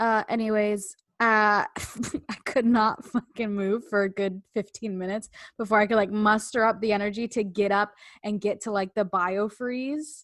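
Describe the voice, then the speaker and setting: A woman with a Canadian accent has an ordinary speaking voice, a fairly high pitch, fairly even intonation and a moderate pace. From Canada. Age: 20s. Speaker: podcast co-host. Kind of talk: casual chat.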